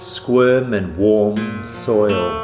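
A man speaks over noticeable background noise. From New Zealand. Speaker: spoken word poet. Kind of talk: spoken word poetry over guitar. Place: home room. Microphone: handheld.

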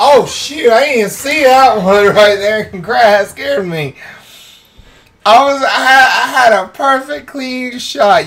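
The speech moves at a fairly slow pace with noticeable background noise. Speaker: gaming YouTuber. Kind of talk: let's play commentary.

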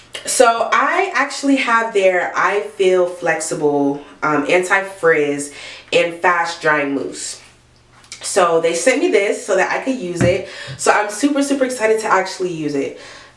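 In a room with audible echo, a woman speaks fairly slowly with lively intonation. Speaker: hair care vlogger. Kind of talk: casual vlog chat. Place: bathroom. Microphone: phone near.

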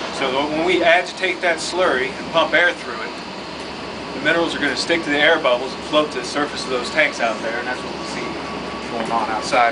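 Amid loud background noise, a man speaks at a very fast pace with ordinary pitch variation. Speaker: mine plant guide. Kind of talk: tour explanation. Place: factory. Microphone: camera far.

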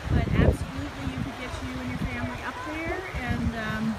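Loud background noise surrounds speech at a moderate pace. The sound is dry, with no echo. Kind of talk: casual vlog chat. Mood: cheerful, enthusiastic. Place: waterside. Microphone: phone near.

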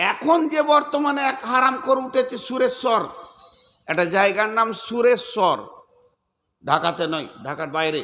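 Projecting a raised voice at an extremely high pitch, a man speaks in a bright, sharp tone with very wide pitch swings. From West Bengal, Bardhaman. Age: 50s. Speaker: Islamic preacher. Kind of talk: sermon.

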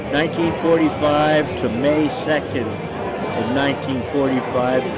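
Loud background noise sits behind a man talking at a fairly slow pace. His voice sounds dry, with no echo. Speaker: war veteran. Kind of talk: interview answer. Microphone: phone near.

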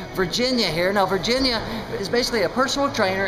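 A man talks at a very fast pace with ordinary pitch variation. Noticeable background noise runs behind him. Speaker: vlogger. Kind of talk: casual vlog chat. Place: gym. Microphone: phone near.

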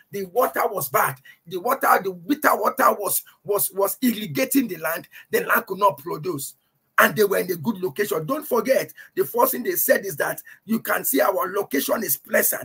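Against a quiet background, a man projects a raised, high-pitched voice with a bright, sharp tone, lively intonation and a moderate pace. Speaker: preacher. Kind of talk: sermon, Bible teaching to a congregation and online audience. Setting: church, livestreamed. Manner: emphatic, repeats key phrases for effect; fervent, exhorting. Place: home room. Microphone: webcam.

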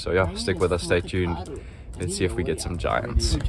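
A man's very deep, low voice, dry with no echo, against noticeable background noise. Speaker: fishing vlogger. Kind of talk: casual vlog chat. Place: open country. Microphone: phone near.

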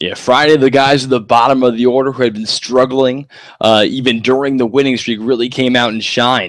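At a fairly quick pace, a man speaks at medium pitch with monotone, flat intonation. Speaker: color commentator. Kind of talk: live baseball commentary, play-by-play calls.

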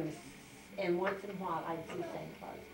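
A woman speaks at a medium pitch with noticeable background noise behind her. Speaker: interviewee telling her life story. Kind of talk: interview answer. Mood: warm, animated reminiscing. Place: home room. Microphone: camera far.

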